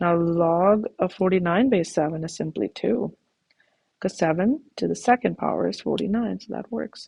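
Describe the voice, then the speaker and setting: This woman talks at a fairly slow pace with vocal fry and a medium pitch. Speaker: math teacher. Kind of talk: tutorial.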